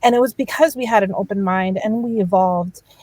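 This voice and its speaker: A woman speaks with a slight Spanish accent. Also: dry, close sound with no echo. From Miami, Florida. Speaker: entertainment producer. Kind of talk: panel discussion. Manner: trips on words.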